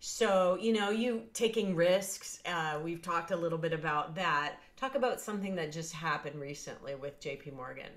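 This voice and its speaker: At a moderate pace and with hardly any pauses, a woman speaks with lively intonation in a fairly low voice. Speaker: podcast host. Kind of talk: interview, casual chat. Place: home room. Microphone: video call.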